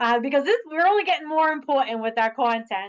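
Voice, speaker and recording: A woman's voice in a strong Boston accent. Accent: heavy Boston. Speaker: admissions representative. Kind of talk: virtual information session presentation. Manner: casual, with many fillers.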